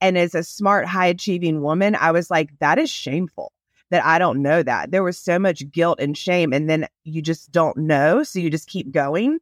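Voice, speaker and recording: Speaking with an American accent at a moderate pace, the voice shows ordinary pitch variation in a dry, close sound with no echo. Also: woman, fairly low pitch for a woman. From US South. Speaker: attorney life coach. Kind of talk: casual interview, storytelling.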